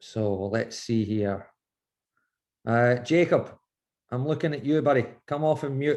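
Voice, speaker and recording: A man with a Scottish accent at a fairly slow pace, with long, frequent pauses, in a quiet background. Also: medium pitch for a man, ordinary pitch variation. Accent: Scottish, noticeable. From Scotland, Glasgow. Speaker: goalkeeping coach. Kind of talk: online coaching session. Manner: animated, speeds up when excited.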